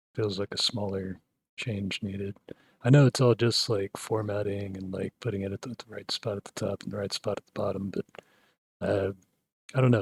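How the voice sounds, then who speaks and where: The man's voice is fairly low and somewhat breathy. The sound is dry and close, with no echo. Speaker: tech hobbyist video creator. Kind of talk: screen-recorded coding tutorial. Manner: low-key, few inflections; calm, soothing.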